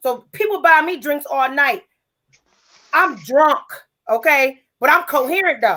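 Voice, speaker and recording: A woman speaks at a fairly slow pace in a high, raised and projected voice with a bright, sharp tone, lively intonation and long, frequent pauses. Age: 30s. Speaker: game night participant. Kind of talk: casual chat.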